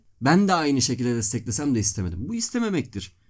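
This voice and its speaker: The speech comes at a very fast pace with very wide pitch swings. The recording is very clean, with a silent background. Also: man. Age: 20s. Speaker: law student. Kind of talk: casual chat.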